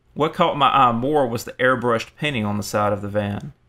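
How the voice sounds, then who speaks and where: A man at a medium pitch speaks in a plain, everyday voice. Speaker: horror story narrator. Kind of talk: horror story narration, first-person scripted reading. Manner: tense, hushed suspense, building dread; shifts to casual, bantering voices for dialogue.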